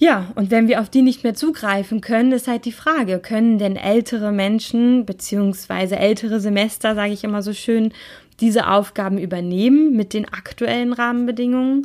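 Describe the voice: A woman speaks at a moderate pace with few pauses. Her voice is fairly high with ordinary pitch variation and a slightly mellow tone.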